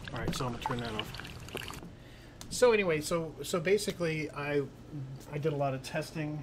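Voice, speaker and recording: Music plays in the background as a man with a fairly high pitch speaks at a fairly quick pace, with ordinary pitch variation, long, frequent pauses and audible room echo. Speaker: hiking and camping YouTuber. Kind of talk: livestream Q and A. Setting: livestream on YouTube and Facebook. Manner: fast; halting, stumbles over words.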